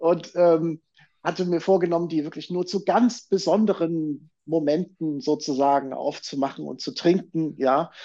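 A man's high-pitched, dark and mellow voice with ordinary pitch variation, over a quiet background. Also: fairly slow pace. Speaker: journalist and documentary filmmaker. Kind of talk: casual discussion.

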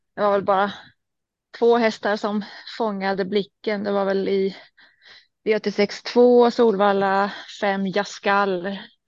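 A woman at a medium pitch, very slow, with monotone, flat intonation and long, frequent pauses, over a quiet background. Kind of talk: casual chat. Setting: in a car.

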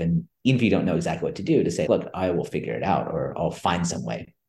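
Speaking very fast with an American accent, a man is heard in a room with audible echo. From US West Coast, California Bay Area. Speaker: business school lecturer and author. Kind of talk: interview.

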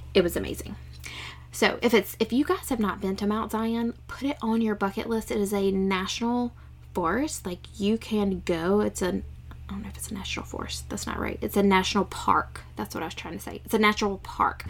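Over music in the background, the speaker talks at a fairly quick pace with big swings in loudness. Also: woman. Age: 40s. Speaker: podcast host, former nurse. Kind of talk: casual solo monologue.

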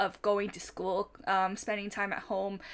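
The speaker is a woman with a Japanese accent. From Japan, Fukuoka. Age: 30s. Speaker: stationery user, non-collector. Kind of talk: casual chat.

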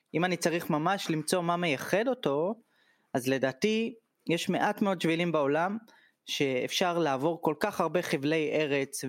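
Recorded very cleanly against a silent background, a man with an ordinary speaking voice talks at a fairly slow pace and a fairly high pitch. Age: 30s. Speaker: tour guide. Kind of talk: casual interview.

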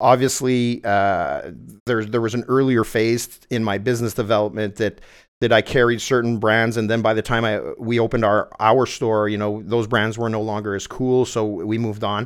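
A man with a Quebec accent speaks at medium pitch and a moderate pace in a flat monotone. The recording is very clean, with a silent background. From Quebec, Montreal South Shore. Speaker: entrepreneur. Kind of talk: interview.

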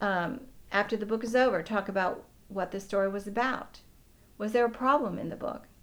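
Using ordinary pitch variation, a woman talks at a fairly quick pace with a medium pitch. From US, Pittsburgh, Pennsylvania. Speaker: preschool teacher. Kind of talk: interview.

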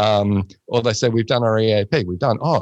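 A man with an Australian accent speaks at a fairly quick pace. His voice is fairly low, with ordinary pitch variation. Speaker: workplace mental health consultant. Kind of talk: casual chat.

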